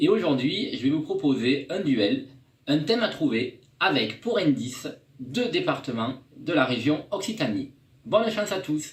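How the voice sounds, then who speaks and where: Speaking with a southern French accent, a man uses a fairly high pitch with very wide swings at a fairly slow pace. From southern France. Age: 30s. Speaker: TV viewer, game fan. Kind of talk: recorded video message.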